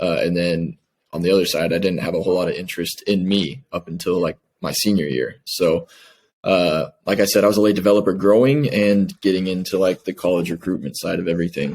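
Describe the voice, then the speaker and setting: A man with an American accent speaks fairly quickly in a very deep, low voice, with ordinary pitch variation. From Kansas City, Missouri, US Midwest. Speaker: professional footballer. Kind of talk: interview.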